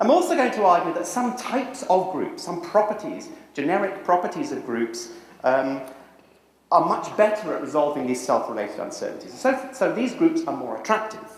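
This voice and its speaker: With a British accent, a man speaks at a moderate pace in a high pitch, his voice swinging very widely. Background noise is noticeable, and room echo is audible. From Britain. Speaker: social psychology professor. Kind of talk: lecture. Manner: walks around while speaking.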